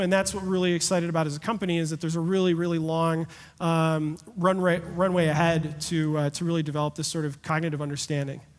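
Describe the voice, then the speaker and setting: A man's high voice at a very fast pace, with hardly any pauses. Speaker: tech company founder. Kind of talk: conference talk Q&A. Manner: energetic.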